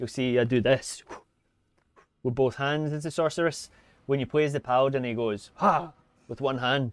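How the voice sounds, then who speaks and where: A man of medium pitch talks at a fairly quick pace. His pitch varies in an ordinary way. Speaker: gaming streamer. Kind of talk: live gameplay stream commentary. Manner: fast; casual, loosely articulated.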